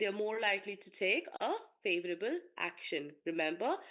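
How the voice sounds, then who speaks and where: Against a quiet background, a woman with a plain, everyday voice speaks at a moderate pace with a fairly high pitch and lively intonation. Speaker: marketing lecturer. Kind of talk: online lecture.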